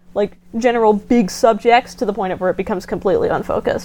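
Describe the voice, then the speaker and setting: This woman has an unremarkable speaking voice with a fairly high pitch. She talks at a fairly quick pace with ordinary pitch variation. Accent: American. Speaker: podcast guest. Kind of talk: casual chat.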